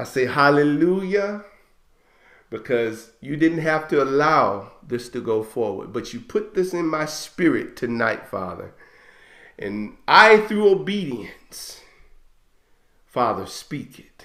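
A man with a fairly high voice speaks at a very slow pace, leaving long, frequent pauses. His pitch swings very widely and his loudness swings a lot. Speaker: Hebrew Israelite ministry leader. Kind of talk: fervent prayer and prophetic declaration; sermon-like teaching and prayer. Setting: online broadcast. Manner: impassioned, urgent, rising and exhortative.

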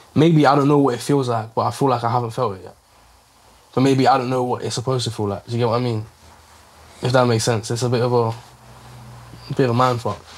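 A man speaks very fast with a London accent. His intonation is monotone and flat. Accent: London, Multicultural London English. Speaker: rapper; interviewee. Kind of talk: documentary interview. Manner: halting.

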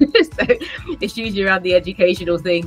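A woman speaks with faint music in the background. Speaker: interview guest. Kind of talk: interview answer. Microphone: webcam.

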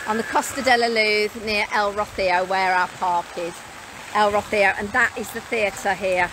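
A woman speaks at a fairly slow pace with fairly even intonation. Background noise is noticeable, and the sound is dry with no echo. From Britain. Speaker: mobile home sales vlogger. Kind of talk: live stream walking tour. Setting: outdoors. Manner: casual, chatty. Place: street. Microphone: phone near.

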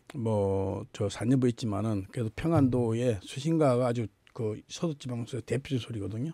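A man's dark, mellow voice at a moderate pace, with ordinary pitch variation, a dry sound with no echo and a quiet background. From Gangwon Province, South Korea. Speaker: folk singer and teacher; teacher. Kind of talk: interview. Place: studio. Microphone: studio mic.

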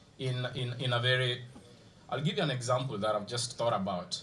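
A man with a Kenyan accent speaks at a medium pitch over light background noise. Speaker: diaspora activist and panelist. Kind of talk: panel debate. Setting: stage with audience. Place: stage. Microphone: podium.

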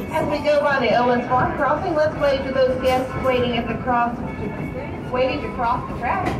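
At a moderate pace, a woman talks over clear background music. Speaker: train conductor announcer. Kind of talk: ride announcement commentary. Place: train.

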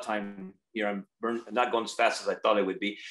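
A man with an American accent talks at a very fast pace against a quiet background, with audible room echo. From California (Watsonville area); California. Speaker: strawberry farmer and farm manager; guest. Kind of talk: guest lecture. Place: home room. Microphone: video call.

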